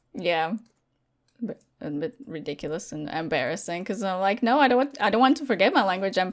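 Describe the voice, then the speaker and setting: Talking fairly quickly in a Latvian accent, a woman at a medium pitch moves through very wide pitch swings. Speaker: gaming content creator. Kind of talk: casual chat.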